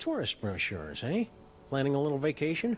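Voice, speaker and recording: A man uses a put-on character voice over clear background noise. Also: fairly high pitch for a man, fairly quick pace. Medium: video game. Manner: verbose, dry.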